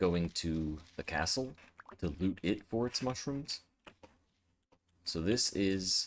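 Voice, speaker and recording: Very slowly and quietly, a man with a very deep, low pitch speaks using lively intonation. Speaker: gaming streamer. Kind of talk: let's play commentary. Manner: quiet, focused.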